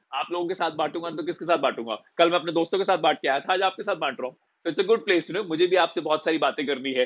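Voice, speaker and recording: The voice belongs to a man and sits high. Its pitch varies in an ordinary way. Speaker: motivational speaker, life coach. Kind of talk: casual Hindi-English live stream talk to viewers. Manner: upbeat, cheerful.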